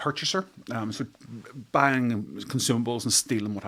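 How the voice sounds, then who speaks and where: A man speaks with a Northern Irish accent at a medium pitch. The recording is very clean, with a silent background. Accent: Northern Irish (Belfast). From Northern Ireland, near Belfast. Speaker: architect and entrepreneur. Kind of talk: podcast interview. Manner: hesitant, many fillers.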